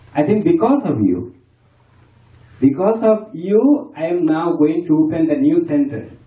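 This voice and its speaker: Over a quiet background with audible room echo, a man with a high pitch speaks with very wide pitch swings. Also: fairly slow pace. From Bangladesh. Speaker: Buddhist monk. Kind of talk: farewell speech. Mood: grateful, warm. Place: home room. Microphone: camera far.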